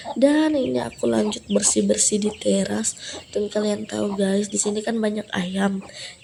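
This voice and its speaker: A woman talks at a moderate speed while noticeable noise sits in the background. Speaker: vlogger. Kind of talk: casual vlog narration. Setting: at home. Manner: casual, chatty.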